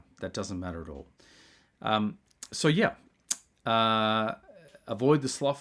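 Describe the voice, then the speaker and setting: A man with an Australian accent and a medium pitch. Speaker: video essayist. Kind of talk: spiritual monologue. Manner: halting.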